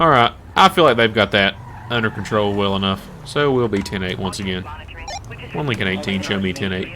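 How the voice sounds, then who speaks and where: Speaking with a Southern US accent, a man at a fairly low pitch moves at a fairly quick pace with ordinary pitch variation and long, frequent pauses, against noticeable background noise. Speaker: gaming YouTuber. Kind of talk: gameplay commentary. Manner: casual, conversational.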